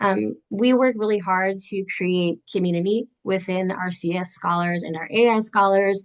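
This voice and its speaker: Speaking with hardly any pauses, a woman keeps a medium pitch and fairly even intonation. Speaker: pre-college program instructor. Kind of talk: informational presentation. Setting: video call. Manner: fast; halting.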